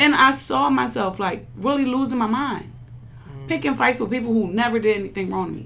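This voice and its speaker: A woman with a fairly high pitch sounds animated, her voice making very wide pitch swings amid audible room echo. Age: 20s. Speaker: library worker and young mother. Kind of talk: casual chat.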